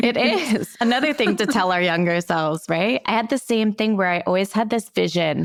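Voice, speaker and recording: Recorded in a dry, close sound with no echo despite noticeable background noise, a woman talks at medium pitch with lively intonation, very even loudness and hardly any pauses. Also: moderate pace. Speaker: podcast host. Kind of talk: casual interview chat. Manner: casual.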